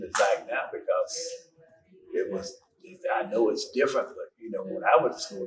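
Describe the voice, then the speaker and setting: At a moderate pace, a man talks with an Arkansas accent. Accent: Southern US (Arkansas). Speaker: school alumnus. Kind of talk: interview.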